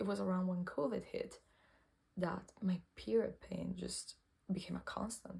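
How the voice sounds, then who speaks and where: With a non-native accent, the speaker delivers the words at a fairly slow pace. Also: woman. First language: not English. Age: 20s. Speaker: cancer patient vlogger. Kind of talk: personal testimony vlog. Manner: halting, self-correcting.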